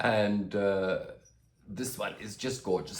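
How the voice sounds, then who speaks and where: A man talks fairly slowly, and audible room echo hangs around his words. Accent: Australian. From Australia. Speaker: plant youtuber. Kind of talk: casual vlog. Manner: hesitant, many fillers.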